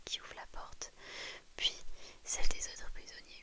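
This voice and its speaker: The speech comes out as a whisper. It is a woman's voice. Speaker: ASMR creator. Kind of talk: whispered bedtime story reading. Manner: whispered.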